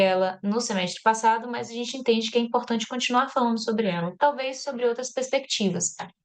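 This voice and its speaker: The speaker is a woman with a fairly high pitch. She talks at a very fast pace. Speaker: course coordinator. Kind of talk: online class announcements.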